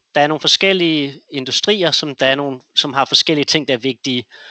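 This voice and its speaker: Fairly high-pitched speech from a man, moderate in pace and ordinary in pitch variation. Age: 30s. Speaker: investor. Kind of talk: interview. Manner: halting.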